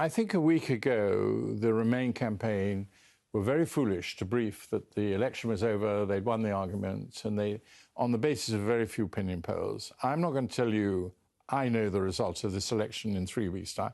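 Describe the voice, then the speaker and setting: A man with a British accent, fairly low pitch, ordinary pitch variation and a moderate pace against a quiet background. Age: 70s. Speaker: politician. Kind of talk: interview.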